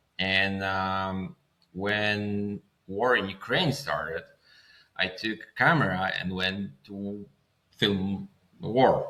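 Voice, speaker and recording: Music plays in the background as a man with a Polish accent talks at a very slow pace, with long, frequent pauses. His pitch is fairly low, with ordinary variation. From Poland. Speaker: filmmaker. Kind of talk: interview. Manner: halting.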